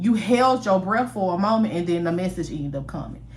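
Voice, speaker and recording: With an animated tone and lively intonation, a woman speaks at a fairly quick pace and a fairly low pitch, with audible room echo. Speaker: storyteller. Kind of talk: storytelling. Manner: fast.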